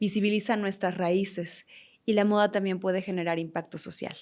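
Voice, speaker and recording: In a very clean recording with a silent background, a woman talks at a moderate pace and medium pitch with an unremarkable speaking voice. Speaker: talk show host. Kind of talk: interview.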